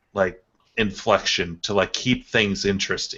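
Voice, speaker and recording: Here is a man with a normal speaking voice. His pitch sits fairly low, and his intonation stays fairly even. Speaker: YouTuber who makes top ten and arcade repair videos. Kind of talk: casual chat.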